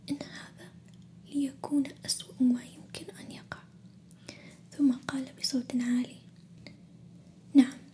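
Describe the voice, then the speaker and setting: Whispering in a calm tone, the speaker goes very slowly, with long, frequent pauses. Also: woman. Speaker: ASMR storyteller. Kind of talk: ASMR bedtime story reading. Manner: soft-spoken, calm.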